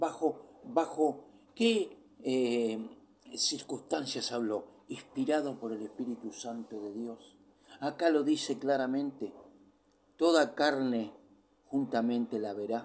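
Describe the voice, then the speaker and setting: Speaking at a very slow pace with long, frequent pauses, a man has a medium pitch and ordinary pitch variation. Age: 60s. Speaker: preacher. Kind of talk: sermon.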